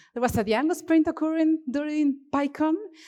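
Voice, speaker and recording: At a moderate pace, a woman speaks with an Argentine accent. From Argentina, Cordoba region. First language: Spanish. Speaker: software developer, conference speaker. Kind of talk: conference talk. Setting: stage with audience. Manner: animated, expressive; halting.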